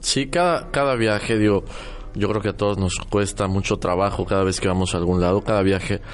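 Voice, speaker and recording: A man with an unremarkable speaking voice talks fairly low in pitch, at a moderate speed, with ordinary variation in pitch. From Mexico City, central Mexico. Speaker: architect and radio host. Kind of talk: casual chat.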